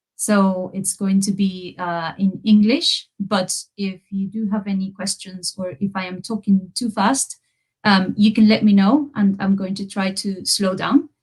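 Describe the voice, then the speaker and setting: Somewhat breathy speech from a woman, medium in pitch, with fairly even intonation and a fairly slow pace. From Peru. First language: Spanish. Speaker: university researcher, lecturer. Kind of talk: academic lecture. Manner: hesitant, many fillers.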